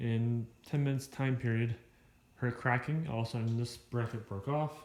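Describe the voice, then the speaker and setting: At a moderate pace, a man with an ordinary speaking voice talks at medium pitch, his loudness very even and his intonation fairly even. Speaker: Jeep hobbyist vlogger. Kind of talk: casual vlog walkaround.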